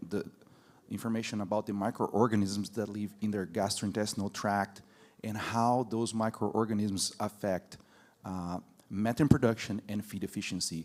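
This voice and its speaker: A man in a Brazilian Portuguese accent, his pitch fairly low and his intonation fairly even. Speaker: university professor of animal science. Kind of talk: panel discussion.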